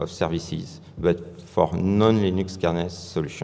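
This man has a French accent and a very deep, low pitch. He speaks fairly slowly with monotone, flat intonation. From France. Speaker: software engineer. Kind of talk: conference talk. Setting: stage with audience. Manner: halting. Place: hall.

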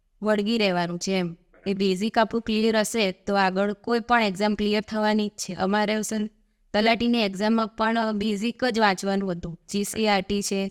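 A woman speaks at a medium pitch in a flat monotone. The sound is dry and close with no echo, and the recording is very clean with a silent background. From Gujarat, India (Dehgam area village). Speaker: successful exam candidate, village accountant. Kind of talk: interview.

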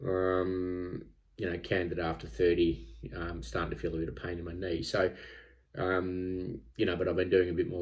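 Speaking at a moderate pace with an Australian accent, a man has a very deep, low pitch and a somewhat breathy quality against a quiet background. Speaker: vlogger training for a triathlon. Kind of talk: personal vlog monologue. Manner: halting, many filler words. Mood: candid, self-critical, calm. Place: home room. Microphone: phone near.

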